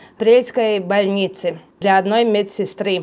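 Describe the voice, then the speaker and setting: A woman with a Latvian accent speaks at a fairly high pitch. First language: Latvian (speaking Russian). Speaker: charity foundation board chair. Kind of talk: radio interview. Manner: halting, many fillers.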